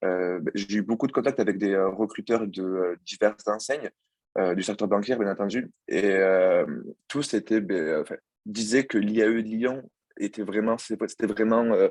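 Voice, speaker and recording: Recorded with a dry, close sound and no echo, a man speaks at a fairly low pitch with fairly even intonation. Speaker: former student, banking apprentice. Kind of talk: student presentation. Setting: video call. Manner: fast; hesitant, many fillers.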